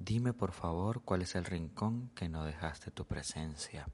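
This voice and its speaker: This is a man speaking. His pace is fairly slow. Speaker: podcast host and amateur poet. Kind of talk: poem read aloud, performed as a heartfelt love poem. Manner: slow, emotional, wistful, tender.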